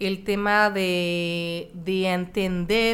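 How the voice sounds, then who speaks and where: A woman's medium-pitched voice in a French accent, with fairly even intonation. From France. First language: French (speaking Spanish). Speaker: horse-assisted coach and businesswoman. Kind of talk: interview.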